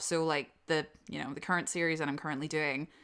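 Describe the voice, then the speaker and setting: Her tone bright and sharp, a woman talks in a Northern Irish accent on a very clean recording with a silent background. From Northern Ireland. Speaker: audio drama voice actor. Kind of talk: casual Q&A chat. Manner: casual, filler-heavy.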